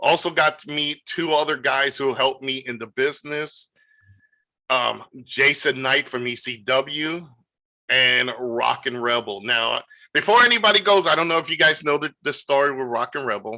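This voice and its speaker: A man's fairly high-pitched voice with a bright, sharp tone, lively intonation, a moderate pace and a New York accent. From New York City. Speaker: wrestling promoter. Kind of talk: interview. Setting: video call. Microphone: good audio.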